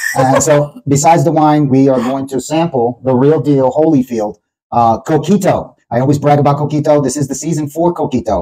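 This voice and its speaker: A man's fairly high-pitched voice with a dark, mellow tone, a fairly quick pace and a Puerto Rican accent. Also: ordinary pitch variation. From Puerto Rican background, New York. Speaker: podcast host. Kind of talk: casual chat.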